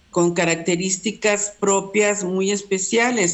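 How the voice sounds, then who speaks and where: This is a woman speaking. Her pitch is medium. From Mexico. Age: 70s. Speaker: university text editor. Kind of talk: casual interview. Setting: remote call.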